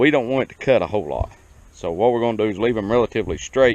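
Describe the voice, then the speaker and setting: This man has an American accent and a medium pitch. His voice comes through dry and close, with no echo. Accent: hillbilly. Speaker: small farmer. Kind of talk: tutorial. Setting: outdoors. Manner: casual, folksy.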